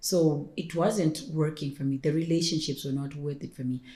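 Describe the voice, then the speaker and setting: A woman speaks at a fairly quick pace in a very deep, low voice with a dark, mellow tone. She is somewhat breathy and her intonation stays fairly even. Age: 30s. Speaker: personal stylist and entrepreneur. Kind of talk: podcast interview. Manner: fast.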